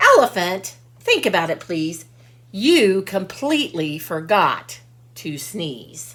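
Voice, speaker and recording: A woman speaks at a fairly slow pace in a put-on character voice. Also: medium pitch for a woman. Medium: read story.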